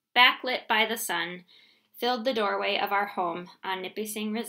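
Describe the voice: Ordinary pitch variation in a stretch of plain reading aloud.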